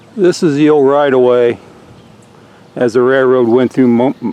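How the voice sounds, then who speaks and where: A man with an American accent talks in a relaxed tone at medium pitch, his loudness very even and his intonation fairly even. He leaves long, frequent pauses, and there is noticeable background noise. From US Midwest (rural Indiana). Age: 60s. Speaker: local history video maker. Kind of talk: casual narration while touring. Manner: relaxed, conversational with hesitations.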